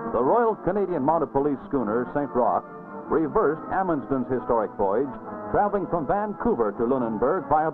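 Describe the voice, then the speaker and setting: Clear music sounds in the background as a man speaks at a moderate pace. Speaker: documentary narrator. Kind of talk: documentary narration. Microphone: old recording.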